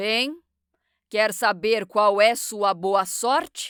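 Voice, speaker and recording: A woman puts on a booming character voice at a medium pitch. She delivers it at a very slow pace. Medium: read story. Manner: booming, imperious.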